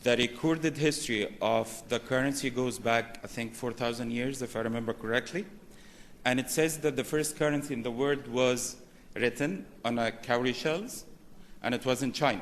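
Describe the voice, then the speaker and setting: Here a man speaks at a moderate pace with ordinary pitch variation. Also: medium pitch for a man. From Egypt. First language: Arabic. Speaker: banking executive, conference speaker. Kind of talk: conference presentation.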